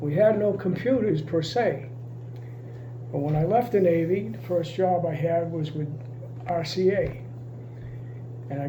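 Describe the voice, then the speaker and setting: A man talks at a moderate pace with a high pitch. The room echo is audible, and there is noticeable background noise. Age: 80s+. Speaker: retired navy communications technician. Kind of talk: interview.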